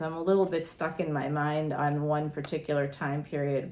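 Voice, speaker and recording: With an American accent, a woman speaks at a moderate pace in a very deep, low voice, keeping her intonation fairly even. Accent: Boston accent, slight, pops out occasionally. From greater Boston, Massachusetts. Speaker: astrologer and tarot reader. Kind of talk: tarot reading monologue. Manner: casual, chatty.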